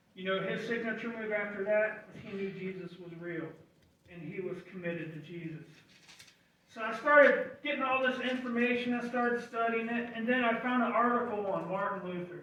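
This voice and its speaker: A man's high-pitched, raised and projected voice at a fairly quick pace, with big swings in loudness, noticeable background noise and audible room echo. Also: ordinary pitch variation. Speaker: lay preacher. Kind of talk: sermon.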